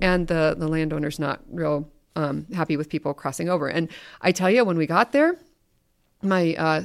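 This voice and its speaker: Speech at a moderate pace comes through in a very clean recording with a silent background. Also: woman. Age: 50s. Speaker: prairie seed program manager. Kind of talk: casual interview. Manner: hesitant, many fillers.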